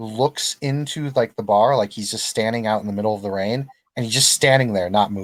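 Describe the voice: Plain reading aloud with ordinary pitch variation against a quiet background.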